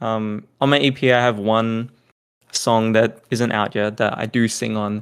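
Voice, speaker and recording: Speaking with an Australian accent, a man talks at a fairly slow pace in a monotone, flat intonation. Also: medium pitch for a man. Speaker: electronic music producer and DJ. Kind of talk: casual interview chat.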